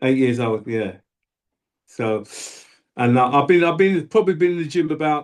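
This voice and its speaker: A man in a London accent, fairly high in pitch, with lively intonation, a moderate pace and long, frequent pauses. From South London, England. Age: 60s. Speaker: bodybuilder and powerlifter. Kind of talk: interview. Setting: video call.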